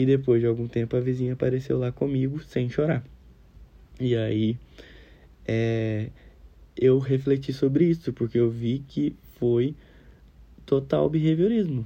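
This man has a dark, mellow tone and a medium pitch. He talks at a fairly slow pace with long, frequent pauses. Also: ordinary pitch variation. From Brazil, Minas Gerais. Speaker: psychology student. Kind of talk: recorded class assignment. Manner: casual.

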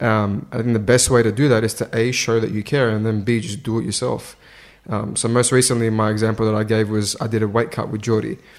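A man talks very fast at a medium pitch. He has an Australian accent. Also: fairly even intonation. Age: 20s. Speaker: strength and conditioning coach. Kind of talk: casual interview. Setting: in person, at fight-week venue.

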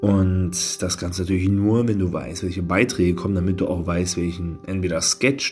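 A man talks at a moderate pace in a very deep, low voice. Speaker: podcaster and media student. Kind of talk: solo podcast monologue. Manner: calm, quieter than usual.

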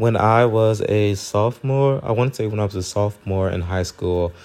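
Here a man has an ordinary speaking voice. His pitch is fairly low, and his intonation is fairly even. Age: 20s. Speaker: podcast host. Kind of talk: casual Q&A monologue. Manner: casual with frequent fillers.

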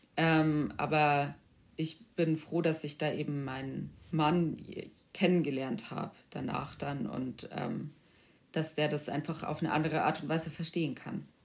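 A woman with a very deep, low pitch and vocal fry speaks at a fairly slow pace. Her intonation is fairly even, and she leaves long, frequent pauses. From Bavaria, Germany. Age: 20s. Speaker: podcast guest with multiple sclerosis. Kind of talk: interview.

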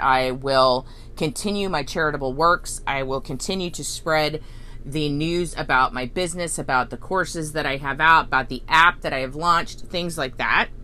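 Loud and with a bright, sharp tone, a woman with a very deep, low pitch speaks at a moderate pace with ordinary pitch variation. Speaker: spiritual healing podcast host. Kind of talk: guided self-reflection talk.

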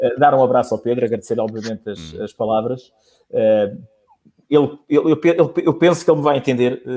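With lively intonation, a man speaks at a moderate pace. His medium-pitched voice has a dark, mellow tone. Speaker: sports radio journalist. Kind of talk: casual chat. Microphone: microphone initially off, technical problems.

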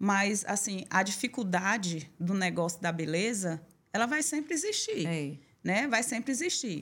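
A woman with a plain, everyday voice speaks at a fairly slow pace in a medium pitch with lively intonation, on a very clean recording with a silent background. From Bahia interior, Brazil. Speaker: salon owner and union president. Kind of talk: interview testimony.

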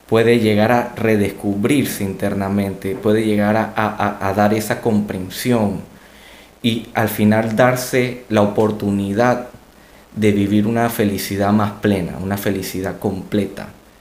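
A man speaks at a fairly low pitch in a monotone, flat intonation with very even loudness. Audible room echo surrounds the voice. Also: fairly slow pace. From Latin America. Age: 20s. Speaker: doctor and podcast co-host. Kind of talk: casual chat.

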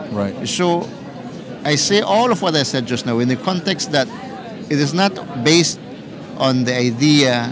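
Audible room echo and noticeable background noise accompany a voice with lively intonation. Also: man. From southern Belize, Maya community. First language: Q'eqchi' Maya. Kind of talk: interview. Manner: halting.

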